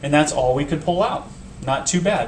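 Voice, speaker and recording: Audible room echo and noticeable background noise surround the voice. A man speaks at a fairly high pitch with ordinary pitch variation. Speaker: high school math teacher. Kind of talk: tutorial. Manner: fast.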